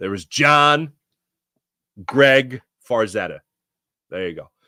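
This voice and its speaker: A man speaks at a medium pitch in a Philadelphia accent, his tone bright and sharp. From Philadelphia area, Pennsylvania. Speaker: sports podcast host. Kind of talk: casual chat.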